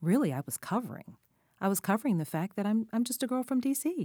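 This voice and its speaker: A woman with an American accent, in a very clean, dry, close recording with a silent background and no echo. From Washington DC area. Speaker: co-host. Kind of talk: scripted host segments and discussion.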